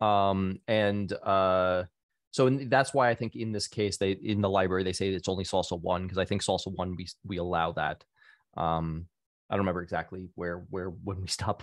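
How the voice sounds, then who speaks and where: A man speaks at a very deep, low pitch with fairly even intonation. The sound is dry with no echo, and the background is quiet. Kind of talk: meeting discussion. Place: home room. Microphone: studio mic.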